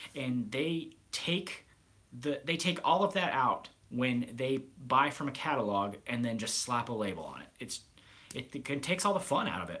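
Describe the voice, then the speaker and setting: In an American accent, a bright, sharp voice moves with lively intonation and big swings in loudness. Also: man, medium pitch for a man. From US Midwest, Nebraska. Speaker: grooming product reviewer. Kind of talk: live stream Q&A. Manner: fairly fast, calm; occasional stammering.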